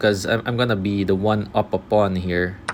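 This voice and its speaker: A fairly low-pitched man at a fairly slow pace, with noticeable background noise. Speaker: chess streamer. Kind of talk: live game commentary. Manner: halting, filler-heavy; mumbling.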